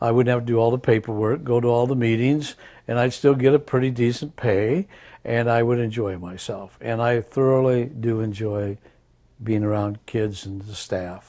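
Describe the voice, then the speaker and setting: In a Midwestern American accent, a man speaks at a medium pitch and a moderate pace, with a dark, mellow tone. His intonation is fairly even, and the recording is very clean with a silent background. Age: 80s+. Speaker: retired teacher, substitute teacher. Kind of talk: interview answer.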